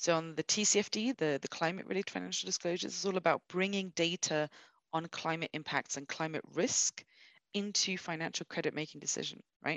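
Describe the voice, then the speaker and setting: Recorded dry and close with no echo against a quiet background, a woman talks at a fairly quick pace in a fairly low pitch. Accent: London. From London, England. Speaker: sustainability finance expert. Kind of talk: interview.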